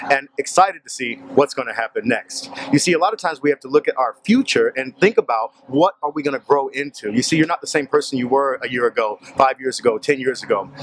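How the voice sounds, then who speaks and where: Speaking fairly quickly with an American accent, a man has an ordinary speaking voice at a fairly high pitch, with a dry sound with no echo and light background noise. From Portland, Oregon; Oregon. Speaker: motivational vlogger. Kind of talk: motivational talk to camera. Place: street. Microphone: phone near.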